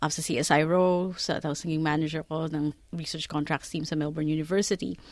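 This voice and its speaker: A woman with a fairly low pitch and an unremarkable speaking voice talks at a fairly quick pace in a very clean recording with a silent background. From Philippines. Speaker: lawyer and career mentor. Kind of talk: interview.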